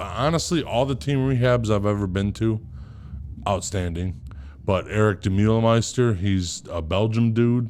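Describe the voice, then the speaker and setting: The delivery is fairly slow, with ordinary pitch variation. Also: man. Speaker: podcast co-host. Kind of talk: casual chat. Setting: studio.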